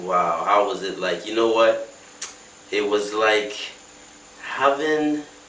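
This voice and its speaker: A man at a very slow pace with long, frequent pauses, fairly low pitch and ordinary pitch variation, plus audible room echo and noticeable background noise. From West Africa, mainly Lagos, Nigeria. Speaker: musician. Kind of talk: interview. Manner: halting, many fillers.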